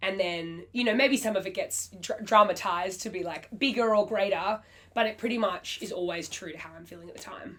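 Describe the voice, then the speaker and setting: Fairly quick speech with hardly any pauses in an Australian accent, big swings in loudness and noticeable background noise. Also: woman, medium pitch for a woman, ordinary pitch variation. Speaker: singer-songwriter. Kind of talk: interview answer.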